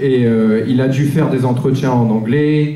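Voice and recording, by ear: A man's dark, mellow voice at a fairly slow pace, with ordinary pitch variation and strong room echo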